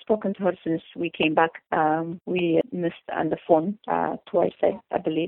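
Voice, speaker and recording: A woman speaks with an Eritrean accent at a fairly low pitch. Her pace is moderate, with hardly any pauses. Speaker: chef. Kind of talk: interview. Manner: halting.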